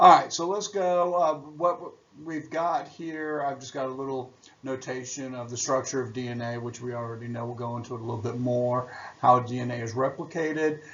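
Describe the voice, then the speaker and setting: A man's ordinary speaking voice, medium in pitch, at a fairly quick pace, with ordinary pitch variation and big swings in loudness. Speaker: biology teacher. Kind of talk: recorded lecture.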